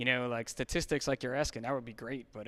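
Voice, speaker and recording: A man with a New Jersey accent speaks at a medium pitch with fairly even intonation. The recording is very clean, with a silent background. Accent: New Jersey American. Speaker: fitness nonprofit organizer. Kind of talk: podcast interview.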